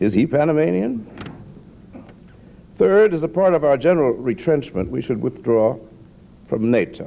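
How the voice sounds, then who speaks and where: This man has a dark, mellow tone at medium pitch, speaking at a moderate pace with very wide pitch swings and long, frequent pauses. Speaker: novelist. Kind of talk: political speech. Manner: dry, sardonic.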